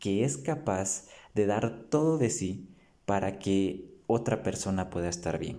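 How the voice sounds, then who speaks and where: A man with a fairly low, dark, mellow voice talks at a fairly slow pace, his pitch swinging very widely. Audible room echo surrounds him. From Guatemala, San Marcos. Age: 20s. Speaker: theology student. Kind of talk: casual chat.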